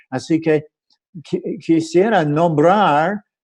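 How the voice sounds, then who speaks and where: A man with an American accent speaks very slowly in a dark, mellow tone, his fairly high voice moving with ordinary pitch variation. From USA. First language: English (speaking Spanish). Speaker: sociologist and bioethics researcher. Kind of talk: panel presentation. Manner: halting, many fillers.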